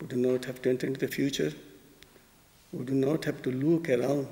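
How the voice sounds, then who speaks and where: A man with a Bengali accent speaks at a medium pitch. His tone is dark and mellow, with fairly even intonation. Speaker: spiritual teacher. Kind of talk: poetry talk. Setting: concert hall. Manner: slow.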